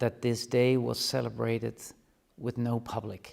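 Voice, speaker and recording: A man talks at a moderate pace with a Dutch accent. His pitch is medium. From Netherlands. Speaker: university rector. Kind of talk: address to students. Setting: classroom live stream. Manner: formal.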